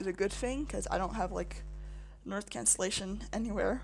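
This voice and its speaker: Music plays in the background while a woman talks. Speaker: gaming YouTuber. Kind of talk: casual let's-play commentary. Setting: home office, guest bedroom. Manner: halting, many false starts.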